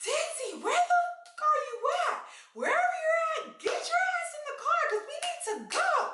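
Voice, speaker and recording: Shouting in a squeaky, extremely high put-on character voice, the speaker swings very widely in pitch at a moderate pace. Music plays in the background. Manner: yelling angrily.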